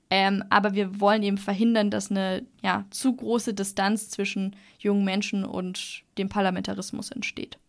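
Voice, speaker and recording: A woman with a plain, everyday voice at a medium pitch, talking at a moderate pace. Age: 20s. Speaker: law student and youth-voting activist. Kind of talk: podcast interview.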